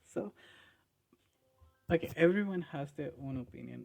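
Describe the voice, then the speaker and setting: With a non-native accent and music in the background, a man talks at a moderate pace. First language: not English. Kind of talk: casual commentary video. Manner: animated.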